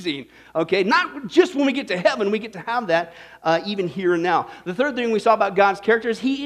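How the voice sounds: Lively intonation marks a natural reading voice.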